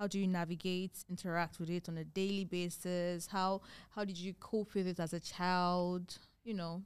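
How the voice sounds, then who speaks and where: Here a woman talks at a medium pitch. Her pace is moderate. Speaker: podcast host. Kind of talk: casual chat. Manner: animated.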